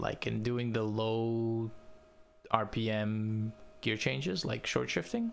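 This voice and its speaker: With noticeable background noise behind him, a man with a non-native accent speaks at a fairly slow pace and medium pitch. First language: not English. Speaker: video game streamer. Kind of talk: live gaming stream commentary. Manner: casual, animated.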